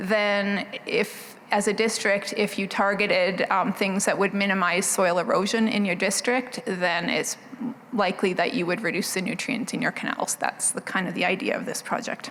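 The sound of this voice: Soft-spoken and fairly bright in tone, a woman talks at medium pitch with fairly even intonation, at a moderate pace with few pauses, over faint background noise.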